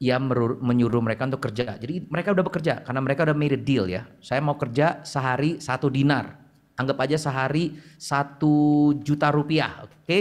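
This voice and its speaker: Delivery comes at a fairly quick pace with ordinary pitch variation. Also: man, fairly high pitch for a man. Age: 40s. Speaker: preacher. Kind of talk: sermon. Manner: casual, halting with fillers.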